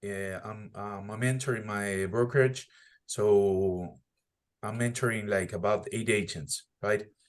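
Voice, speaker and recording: In a non-native accent, a man speaks fairly slowly with big swings in loudness against a quiet background. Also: fairly low pitch for a man, ordinary pitch variation. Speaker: real estate agent and mentor. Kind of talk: casual group meeting talk.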